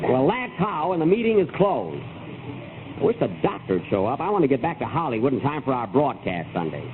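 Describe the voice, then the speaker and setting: Music plays in the background as a man talks fairly quickly with hardly any pauses, his fairly high voice making very wide pitch swings. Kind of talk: old-time radio comedy.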